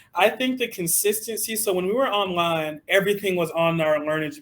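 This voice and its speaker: A man with a Southern US accent and ordinary pitch variation. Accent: Southern drawl. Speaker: teacher and interviewer. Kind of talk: casual interview chat.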